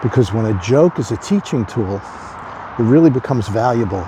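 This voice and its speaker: Lively intonation runs through a man's speech, with noticeable background noise behind it. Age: 60s. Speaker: addiction recovery speaker. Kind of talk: casual talk to camera.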